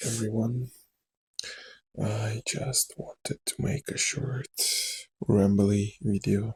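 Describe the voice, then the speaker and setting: Very slow and marked by long, frequent pauses, a man with a Russian accent speaks at medium pitch in a somewhat breathy, dark, mellow tone with fairly even intonation and a dry, close sound with no echo. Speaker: actor. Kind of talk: rambling ASMR talk to camera. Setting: lo-fi recording.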